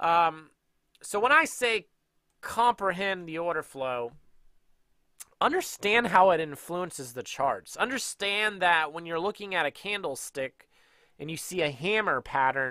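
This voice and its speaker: A man speaks at a fairly slow pace in a high voice with a bright, sharp tone and lively intonation, taking long, frequent pauses, the sound dry with no echo against a quiet background. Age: 30s. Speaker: day trading educator. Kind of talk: tutorial. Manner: casual. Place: home room. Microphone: headset.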